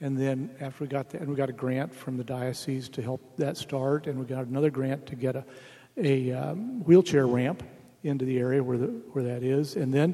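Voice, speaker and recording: At a fairly quick pace, a man with an American accent speaks in an unremarkable speaking voice, medium in pitch and fairly even in intonation. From Oregon. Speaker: retired bishop. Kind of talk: panel discussion.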